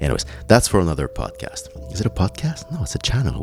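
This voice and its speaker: A speaker with a French accent uses very wide pitch swings over noticeable background noise. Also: man. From Quebec, Montreal. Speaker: podcast host. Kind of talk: solo podcast monologue.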